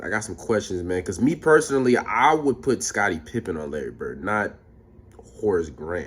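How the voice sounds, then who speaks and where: A man speaks at a moderate pace in a fairly low voice, his animated tone riding very wide swings in pitch. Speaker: YouTube reaction creator. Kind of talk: casual reaction commentary. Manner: stutter.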